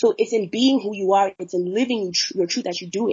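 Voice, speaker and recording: A woman's voice sounds somewhat breathy. Her pitch shows ordinary variation. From Zimbabwe. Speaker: social activist. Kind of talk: interview.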